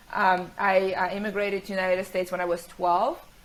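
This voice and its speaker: Female speech with noticeable background noise. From Ukraine. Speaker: tech company CEO and author. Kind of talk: podcast interview. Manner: hesitant, many fillers.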